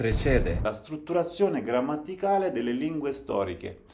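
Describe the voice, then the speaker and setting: A man speaks with a Turkish accent and lively intonation at a moderate pace, his pitch fairly high. Audible room echo surrounds him. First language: Zaza (speaking Italian). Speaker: language educator / channel host. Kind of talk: lecture. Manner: formal.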